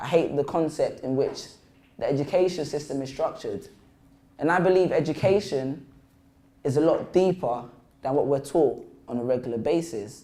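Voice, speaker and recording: With long, frequent pauses and audible room echo, a man with a London accent speaks in a fairly high pitch, his dark, mellow tone showing ordinary pitch variation. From London, England. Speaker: spoken word poet and motivational speaker. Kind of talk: school assembly talk. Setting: stage with audience in a school. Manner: fast; animated.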